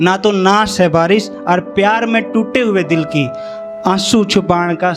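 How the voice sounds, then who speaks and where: A man speaks in a high voice with music playing in the background. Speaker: poet. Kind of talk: poetry reading at an open mic event.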